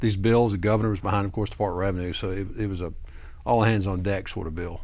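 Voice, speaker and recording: In a room with audible echo, a man talks very fast in a fairly low voice with fairly even intonation. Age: 60s. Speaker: tax attorney. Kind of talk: TV interview. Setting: studio.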